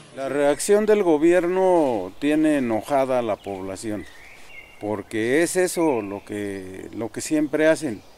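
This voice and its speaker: A man with a fairly high pitch speaks very slowly, his voice swinging very widely in pitch, amid noticeable background noise. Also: big swings in loudness. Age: 60s. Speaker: community forest defender. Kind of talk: interview testimony.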